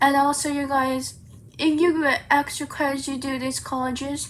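Monotone, flat intonation at a moderate pace, with light background noise. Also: woman. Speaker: vlogger. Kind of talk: casual vlog chat. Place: home room. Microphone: phone near.

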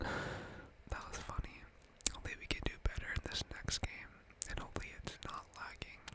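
Whispering comes at a moderate pace. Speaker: gamer. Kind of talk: ASMR gaming commentary. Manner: whispered. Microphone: studio mic.

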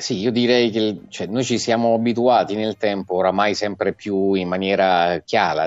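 Against a quiet background, a man's fairly low voice carries fairly even intonation in a dry sound with no echo. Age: 50. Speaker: political commentator. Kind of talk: talk show discussion. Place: home room. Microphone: earbuds.

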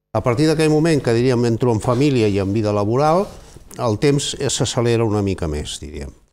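A man's dark, mellow voice with lively intonation at a fairly quick pace. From Barcelona, Catalonia. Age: 70s. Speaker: president of seniors' federation; guest. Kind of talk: TV studio discussion. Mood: calm, reflective. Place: studio. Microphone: lapel.

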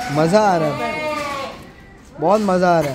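Delivered at a fairly slow pace, the voice has a slightly mellow tone and ordinary pitch variation. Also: man, fairly high pitch for a man.

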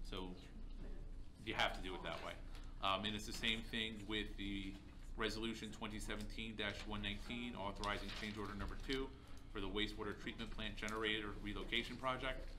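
Against noticeable background noise, a man speaks fairly quickly in a fairly low voice with monotone, flat intonation. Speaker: city manager. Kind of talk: council meeting report. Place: meeting room. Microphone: podium.

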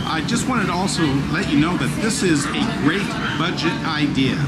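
Music plays in the background. A man speaks at a moderate pace. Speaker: travel vlogger. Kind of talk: casual vlog chat. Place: boat. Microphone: phone near.

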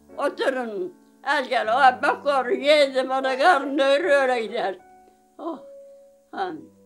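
High-pitched female voice over faint background music. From Manisa, Turkey. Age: 80s+. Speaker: villager, survivor of domestic violence. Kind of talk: interview answer. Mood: emotional, aggrieved storytelling.

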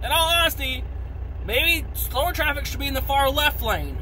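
A man with an American accent speaks at a fairly quick pace over light background noise. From United States. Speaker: truck driver vlogger. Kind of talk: angry rant to camera, cursing and grumbling about bad drivers. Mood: frustrated, venting. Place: car. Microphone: phone near.

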